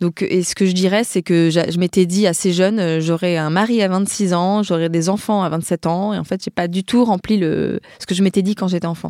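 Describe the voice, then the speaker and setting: At a moderate pace, a woman speaks in a dark, mellow tone at a medium pitch with fairly even intonation. The recording is very clean and dry, close with no echo, with a silent background. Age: 30s. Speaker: war photojournalist. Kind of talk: interview. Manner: halting.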